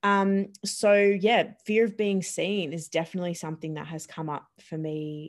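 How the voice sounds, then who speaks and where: A woman speaks at a fairly slow pace with ordinary pitch variation, in a very clean recording with a silent background. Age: 20s. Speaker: fitness and mindset coach. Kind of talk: casual chat.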